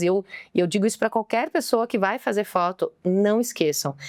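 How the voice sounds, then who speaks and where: Recorded very cleanly against a silent background, with a dry, close sound and no echo, a woman speaks at medium pitch with ordinary pitch variation. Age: 40s. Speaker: mentor and speaker. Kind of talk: podcast interview. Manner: fast; talkative.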